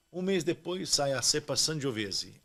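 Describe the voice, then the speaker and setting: A man uses a normal speaking voice, keeping a moderate pace and ordinary pitch variation. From Brazil, São Paulo. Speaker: winemaker. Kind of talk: casual interview chat.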